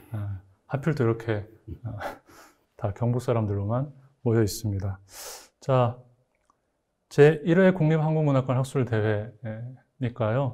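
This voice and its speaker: A man speaks very slowly with long, frequent pauses, his medium-pitched voice dark, mellow and somewhat breathy, with ordinary pitch variation, on a very clean recording with a silent background. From Gyeongbuk, South Korea. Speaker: literary critic and moderator. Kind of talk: moderated literary talk. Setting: studio. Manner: stiff, hesitant with fillers.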